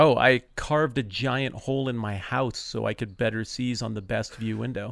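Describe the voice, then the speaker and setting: A man's unremarkable speaking voice at a medium pitch, with fairly even intonation at a moderate pace on a very clean recording with a silent background. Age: 40s. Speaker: podcast guest, bible teacher. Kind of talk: casual chat.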